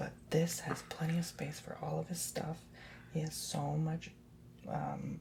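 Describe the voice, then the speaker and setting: A soft-spoken man at a fairly slow pace, with noticeable background noise. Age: 20s. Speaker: ASMR youtuber. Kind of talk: casual chat.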